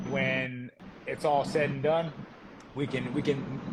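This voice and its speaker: A man's fairly high-pitched voice at a moderate pace, with noticeable background noise. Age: 30s. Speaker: professional boxer. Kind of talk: interview.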